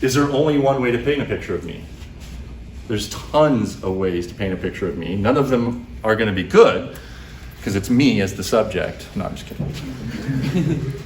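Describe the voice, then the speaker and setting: A man speaks with lively intonation and big swings in loudness. Audible room echo and noticeable background noise surround him. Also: medium pitch for a man. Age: 50s. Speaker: computer science professor. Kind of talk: lecture. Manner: fast.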